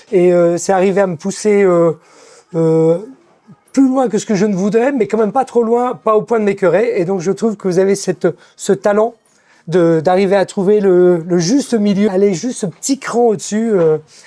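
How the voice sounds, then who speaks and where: At a moderate pace, a man talks in a high, dark and mellow voice with ordinary pitch variation and very even loudness. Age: 60s. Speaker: gym member. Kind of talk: testimony.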